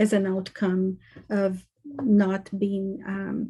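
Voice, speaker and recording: With a monotone, flat intonation, a woman speaks at a medium pitch in a dark, mellow tone that is somewhat breathy. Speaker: conference presenter on trauma. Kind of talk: lecture.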